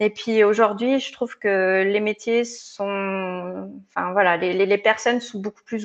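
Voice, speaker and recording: The intonation is monotone and flat. It belongs to a woman speaking at a medium pitch. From France, Hautes-Alpes. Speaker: tech recruiter. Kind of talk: interview.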